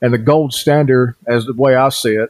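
A man with an American accent has an unremarkable speaking voice, medium in pitch and moderate in pace, recorded with a dry, close sound and no echo. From US South, western North Carolina (Cherokee Reservation). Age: 40s. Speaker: podcast host, paranormal investigator. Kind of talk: podcast monologue, storytelling.

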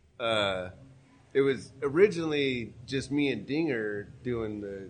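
A man talks with ordinary variation in pitch, and the room gives an audible echo. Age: 50s. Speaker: podcaster and artist. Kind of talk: casual chat. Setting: live event in a warehouse.

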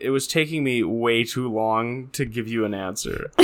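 A man's voice sits at a medium pitch and varies in an ordinary way. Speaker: podcast co-host. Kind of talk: casual chat. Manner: slow, deliberate talker.

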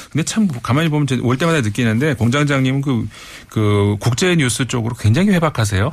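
Speaking at a fairly quick pace with lively intonation and very even loudness, a man uses a plain, everyday voice at a medium pitch. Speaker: foreign affairs commentator. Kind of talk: radio interview commentary.

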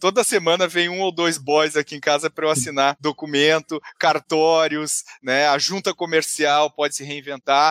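Fairly high in pitch, a man speaks at a moderate pace with fairly even intonation and hardly any pauses. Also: very clean recording, silent background. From southern Brazil, Porto Alegre. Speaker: entrepreneur and business author. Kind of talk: podcast interview. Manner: halting, many fillers and repetitions.

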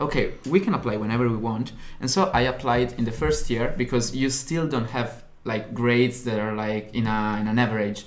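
In an Italian accent, a man talks at a fairly quick pace with medium pitch and ordinary pitch variation, in audible room echo. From Italy, Turin (north). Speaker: university student, podcast co-host. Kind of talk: casual chat.

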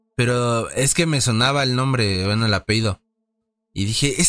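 With a Mexican accent, a man talks at a fairly quick pace in a bright, sharp tone, the sound dry and close with no echo. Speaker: podcast co-host. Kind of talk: casual chat.

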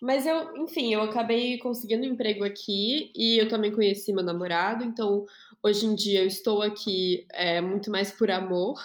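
A woman speaks at a moderate pace with a fairly high pitch and ordinary pitch variation. It is an ordinary speaking voice. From Brazil. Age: 20s. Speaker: podcast host. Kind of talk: casual chat.

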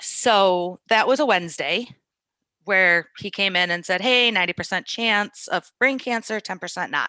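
At a medium pitch and moderate pace, a woman speaks in a bright, sharp tone with ordinary pitch variation, on a very clean recording with a silent background and a dry, close sound with no echo. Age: 20s. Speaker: cancer survivor. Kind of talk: casual interview.

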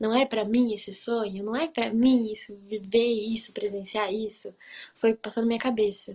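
A somewhat breathy woman's voice, fairly high in pitch with a dark, mellow tone, monotone and flat in intonation, at a moderate pace. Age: 20s. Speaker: au pair. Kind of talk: casual interview chat.

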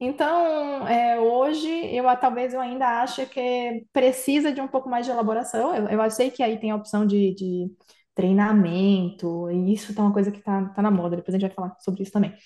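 At a moderate pace, a woman talks in an ordinary speaking voice. Her pitch is fairly high with ordinary variation. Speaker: tech company CEO. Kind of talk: casual interview.

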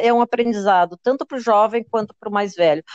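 In a dry, close sound with no echo, a woman talks at a very fast pace. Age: 60s. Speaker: digital content creator. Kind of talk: interview.

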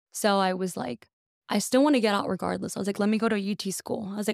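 An American-accented woman speaks at a medium pitch with ordinary pitch variation, in a dry, close sound with no echo on a very clean recording with a silent background. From US South, Texas (McAllen, Rio Grande Valley). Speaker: financial advisor. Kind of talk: casual chat.

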